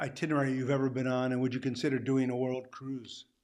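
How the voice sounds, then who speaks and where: A fairly quick pace and medium pitch from a man with a normal speaking voice. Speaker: cruise show host. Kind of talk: casual interview chat. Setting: live video call.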